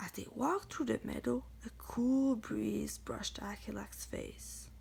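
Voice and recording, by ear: A slow, fairly high female voice with vocal fry, a slightly mellow tone and fairly even intonation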